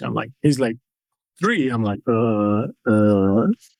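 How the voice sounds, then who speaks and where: Speaking at a moderate pace with ordinary pitch variation, a man talks with a Portuguese accent. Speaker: mixed martial arts fighter. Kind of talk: interview testimony.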